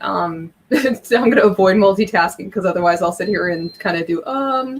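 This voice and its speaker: Over noticeable background noise, a woman with a medium pitch and ordinary pitch variation speaks at a fairly quick pace. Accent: American. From Ohio. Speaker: comic book YouTuber. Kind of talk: casual interview chat. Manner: fast.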